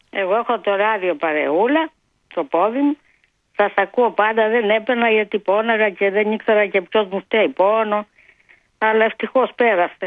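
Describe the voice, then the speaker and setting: This woman's voice sits fairly high in pitch, with ordinary pitch variation. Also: very even loudness. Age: 60s. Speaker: caller. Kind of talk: casual chat. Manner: animated.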